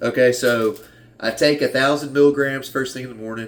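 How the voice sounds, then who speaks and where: An American accent is heard. Delivery comes at a moderate pace. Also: man. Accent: Southern US, sometimes strong. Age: 30s. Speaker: fitness vlogger. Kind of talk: casual vlog talk. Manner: halting, many restarts.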